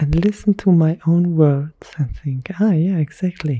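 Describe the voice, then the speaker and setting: A soft-spoken woman whispers. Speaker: ASMR creator. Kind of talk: whispered ASMR monologue. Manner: whispering.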